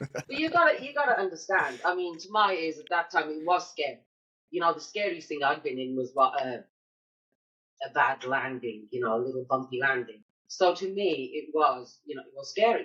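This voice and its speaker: Speaking at a fairly quick pace, a woman with a British accent uses a fairly low pitch, lively intonation and big swings in loudness. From Britain. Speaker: military spouse entrepreneur. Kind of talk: casual chat. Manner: animated.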